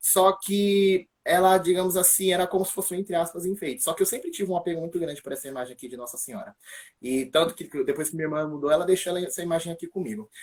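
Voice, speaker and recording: This man's pitch is high, with ordinary variation. He speaks at a very fast pace. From São Paulo, Brazil (east zone). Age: 20s. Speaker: church ministry member giving faith testimony. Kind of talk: testimony. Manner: casual, hesitant with fillers.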